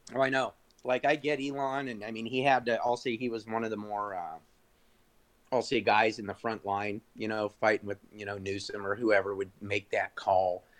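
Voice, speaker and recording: A man speaks in a normal speaking voice at a moderate pace, his medium pitch held in fairly even intonation. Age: 40s. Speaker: entrepreneur. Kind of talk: casual chat. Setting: video call.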